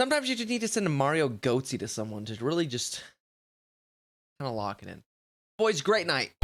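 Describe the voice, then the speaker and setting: A man talks at a fairly high pitch and a fairly quick pace, with very wide pitch swings, big swings in loudness, and long, frequent pauses. The recording is very clean, with a silent background. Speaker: streamer. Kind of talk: casual chat. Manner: casual.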